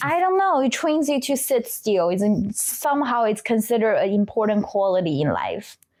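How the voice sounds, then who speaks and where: A woman speaks with a Chinese accent at a moderate pace, with hardly any pauses. Her fairly high pitch swings very widely while her loudness stays very even. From China. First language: Mandarin Chinese. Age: 20s. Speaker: trauma therapist. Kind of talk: interview. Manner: halting.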